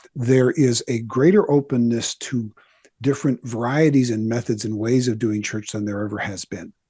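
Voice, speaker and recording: Against a quiet background, a man with a dark, mellow tone and medium pitch talks at a moderate pace, the sound dry and close with no echo. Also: ordinary pitch variation. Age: 60s. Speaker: pastor and author. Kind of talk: interview.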